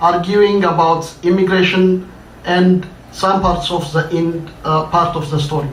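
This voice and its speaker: A man with an Ethiopian accent speaks at a fairly slow pace, his pitch high and his intonation fairly even. There is audible room echo and noticeable background noise. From Ethiopia, Addis Ababa. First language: Amharic. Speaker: writer. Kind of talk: reading aloud.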